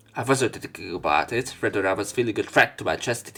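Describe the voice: Lively intonation comes at a fast pace. The tone is fairly bright, with vocal fry. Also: man, fairly low pitch for a man.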